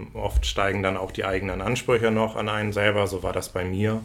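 A man speaks in a monotone, with flat intonation. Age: 30s. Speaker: burnout patient sharing his experience. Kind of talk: casual interview about personal experience.

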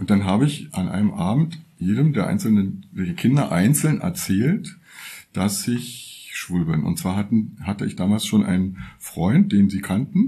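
This voice has lively intonation, a somewhat breathy quality and a dark, mellow tone. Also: man. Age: 60s. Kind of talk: personal testimony. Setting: workshop, recorded lying in a bed.

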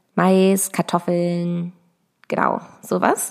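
Delivered at a very slow pace in a monotone, flat intonation, the speech sits on a very clean recording with a silent background. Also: woman. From Lower Saxony, near Hanover. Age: 20s. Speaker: agriculture podcaster. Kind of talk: personal monologue. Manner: hesitant, many fillers.

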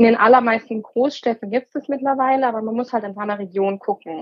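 A woman has an ordinary speaking voice. She talks at a fairly quick pace in a fairly high pitch with fairly even intonation. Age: 30s. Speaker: emergency doctor. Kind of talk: interview.

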